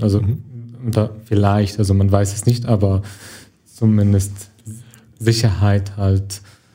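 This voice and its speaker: A man speaks with an Arabic accent at a very slow pace. His tone is dark and mellow. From Syria. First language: Arabic (speaking German). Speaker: actor and film student. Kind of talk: interview. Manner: halting.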